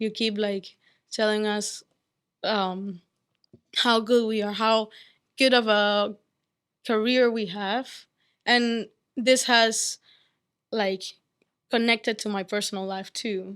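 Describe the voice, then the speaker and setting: Very slow, with long, frequent pauses, a woman speaks at a fairly high pitch in a monotone, flat intonation on a very clean recording with a silent background. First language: not English. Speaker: undergraduate student. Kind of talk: testimony. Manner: halting.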